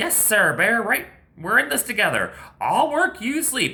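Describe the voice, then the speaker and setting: The speaker puts on a character voice with a fairly high pitch. The pitch swings very widely at a moderate pace. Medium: read story. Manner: persuasive.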